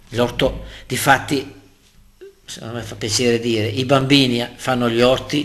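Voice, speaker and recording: The tone is bright and sharp, with vocal fry. Delivery is fairly slow, in a monotone, flat intonation. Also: man. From Lombardy, northern Italy. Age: 60s. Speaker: local politician. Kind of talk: interview. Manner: talkative.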